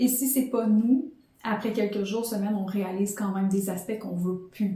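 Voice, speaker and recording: A woman speaks fairly quickly in a somewhat breathy, fairly high voice with a dark, mellow tone and ordinary pitch variation. Audible room echo surrounds her. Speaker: podcast host and life coach. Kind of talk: motivational podcast monologue. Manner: fast.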